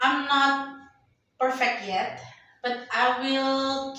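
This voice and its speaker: Audible room echo surrounds a woman speaking very slowly with an Indonesian accent. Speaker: company employee, podcast guest. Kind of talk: casual interview. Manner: halting, many fillers.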